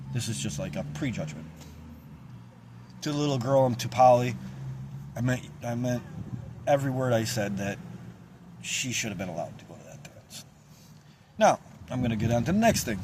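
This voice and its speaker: A man with a medium pitch talks at a fairly quick pace, with lively intonation and big swings in loudness. Long, frequent pauses break up his speech, and audible room echo surrounds it. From central New York. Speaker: local community video host. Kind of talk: casual vlog monologue. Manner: halting, loses track.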